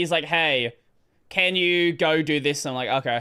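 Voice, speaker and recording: A man speaks with an Australian accent. His pace is moderate and his pitch variation ordinary. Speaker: gaming streamer. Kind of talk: casual chat. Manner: halting.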